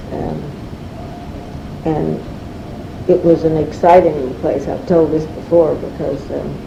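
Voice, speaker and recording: A woman's very deep, low voice at a fairly slow pace, with noticeable background noise and audible room echo. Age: 70s. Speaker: oral history interviewee. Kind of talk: oral history interview. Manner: halting, many fillers.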